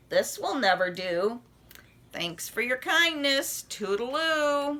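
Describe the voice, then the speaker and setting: Slowly, at a fairly unhurried pace, a woman performs a put-on character voice pitched high. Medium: read story. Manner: clipped, chummy phrases.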